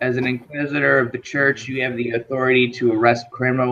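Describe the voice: Plain reading aloud moves along with fairly even intonation.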